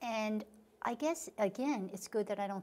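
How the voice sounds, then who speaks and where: At a moderate pace, a woman is talking. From Long Island, New York. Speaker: author. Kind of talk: interview. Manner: halting.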